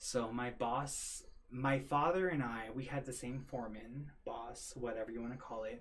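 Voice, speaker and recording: A man speaks at a medium pitch in a somewhat breathy voice, his intonation fairly even. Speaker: construction pipe fitter. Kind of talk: casual chat. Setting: live stream. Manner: fast.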